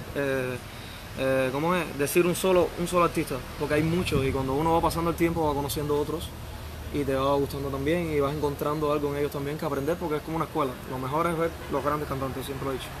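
Through noticeable background noise, a man speaks at a very fast pace with a fairly high pitch and monotone, flat intonation. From Ciego de Ávila, Cuba; Cuba. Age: 20s. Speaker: singer and songwriter; interviewee. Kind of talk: interview. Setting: outdoor bar terrace. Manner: halting.

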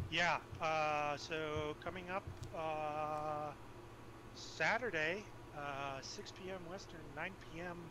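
The delivery comes at a very slow pace with long, frequent pauses, a bright, sharp tone and fairly even intonation. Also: man, fairly high pitch for a man. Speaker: player being interviewed. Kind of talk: post-match interview, casual chat. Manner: casual, rambling, hedging.

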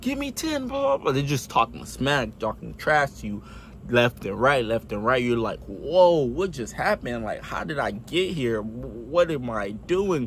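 A man with an American accent at a fairly slow pace, dry sound with no echo, light background noise. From United States. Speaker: US Army soldier and video creator. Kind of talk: casual explainer video. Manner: frequent filler words, rambling; animated, enthusiastic. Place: home room. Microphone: phone near.

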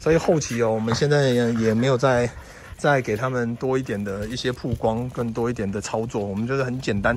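The man's fairly quick delivery has a dry sound with no echo and light background noise. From Taiwan. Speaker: pet vlogger. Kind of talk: casual vlog monologue. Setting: outdoors. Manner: halting, many filler particles. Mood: relaxed, reflective. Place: open country. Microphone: phone near.

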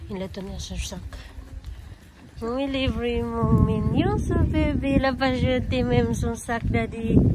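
A woman at a fairly slow pace, with big swings in loudness, audible room echo and noticeable background noise. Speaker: family vlogger. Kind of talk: casual vlog narration. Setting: outdoors at castle and church.

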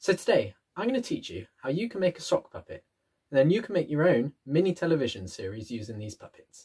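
A man talks at a fairly quick pace with vocal fry, very wide pitch swings and big swings in loudness. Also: quiet background. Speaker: presenter. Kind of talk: tutorial. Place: home room. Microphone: webcam.

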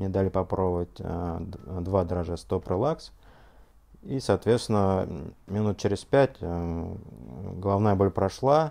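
Very deep and low, the man's voice has a dark, mellow tone. He speaks at a very slow pace with lively intonation. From Russia, Ufa (Bashkortostan); Bashkortostan, Russia. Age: 30s. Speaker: scientist giving product testimonial. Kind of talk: testimony. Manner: halting, many filler sounds. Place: home room.

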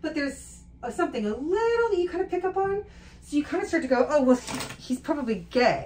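Over noticeable background noise, a woman talks very fast in a high pitch, with very wide pitch swings. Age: 40s. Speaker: make-up artist. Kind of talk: casual chat. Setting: on set.

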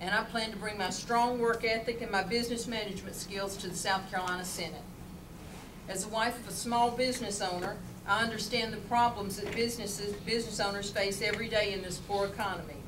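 Over noticeable background noise, a woman speaks at a very fast pace in a monotone, flat intonation. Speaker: candidate. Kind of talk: campaign speech. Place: meeting room. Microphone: camera far.

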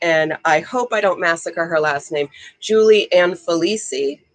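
A woman speaks at a moderate pace and a fairly low pitch. Her pitch varies in an ordinary way against a quiet background. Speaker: author and ballroom dancer. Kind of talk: casual interview. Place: home room. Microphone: video call.

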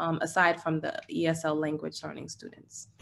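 Her intonation monotone and flat, a woman talks at a moderate pace. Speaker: ESL and elementary school teacher; elementary school teacher. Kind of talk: audience question in a webinar. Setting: video call. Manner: hesitant, searching for words. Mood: polite, interested. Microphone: video call.

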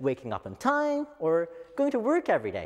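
Over a quiet background, a man's voice makes very wide pitch swings. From Japan. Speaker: office worker. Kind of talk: English speech contest oration. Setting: lecture hall stage. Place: hall.

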